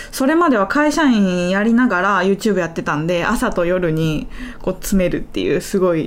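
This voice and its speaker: Noticeable background noise sits behind this woman's voice. She speaks at a moderate pace and medium pitch with lively intonation. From Kansai, Japan (Kyoto). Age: 20s. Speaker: YouTuber and iPad designer. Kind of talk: casual chat. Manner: lighter, giggly.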